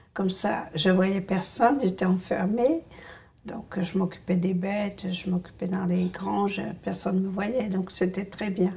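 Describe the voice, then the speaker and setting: A woman's medium-pitched voice at a fairly slow pace, fairly even in intonation, over noticeable background noise. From rural France. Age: 60s. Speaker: essential tremor patient. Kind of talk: testimony. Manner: hesitant, many fillers.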